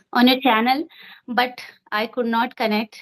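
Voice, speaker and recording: A woman with an Indian accent speaks at a fairly high pitch and fairly slow pace, her intonation monotone and flat, in a dry, close sound with no echo. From India (Uttarakhand). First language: Hindi. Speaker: English learner. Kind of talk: casual conversation practice.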